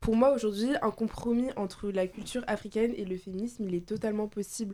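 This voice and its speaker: A woman with an ordinary speaking voice talks at a fairly high pitch and fairly quick pace with fairly even intonation. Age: young (18). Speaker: law student, debate participant. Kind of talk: casual debate.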